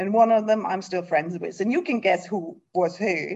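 In a German accent, a woman speaks with lively intonation. Her pitch sits in the medium range. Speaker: nonprofit executive. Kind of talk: interview. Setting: video call.

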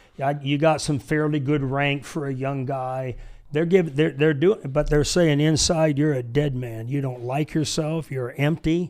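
A man with a plain, everyday voice talks at a moderate pace. His pitch is fairly high and his intonation fairly even. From Michigan, US. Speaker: pastor and military veteran. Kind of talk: casual chat. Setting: studio.

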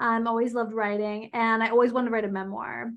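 Against a quiet background, a woman talks at a fairly quick pace in a fairly high pitch. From US Northeast, Philadelphia area. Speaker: manifestation teacher and business coach. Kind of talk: casual interview chat. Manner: casual, natural.

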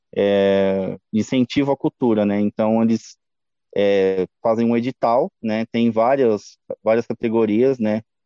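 A man's medium-pitched voice in a dark, mellow tone, very slow, with very even loudness and fairly even intonation, dry and close with no echo, against a quiet background. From Brazil, Mauá, São Paulo state. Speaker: punk rock band vocalist. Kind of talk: casual interview.

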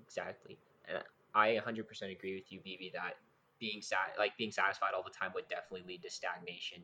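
Big swings in loudness mark the man's speech. He keeps a fairly quick pace. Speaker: podcast host. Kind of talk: casual chat. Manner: talkative, energetic.

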